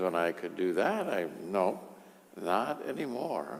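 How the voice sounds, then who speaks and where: A man talks fairly slowly, and the room's echo can be heard. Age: 70s. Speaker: priest. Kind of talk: sermon. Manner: conversational, with frequent fillers.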